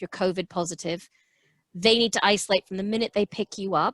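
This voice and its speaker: A woman with an ordinary speaking voice and medium pitch talks with fairly even intonation, the sound dry and close with no echo against a quiet background. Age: 50s. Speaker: public health official. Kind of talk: webinar Q&A answer.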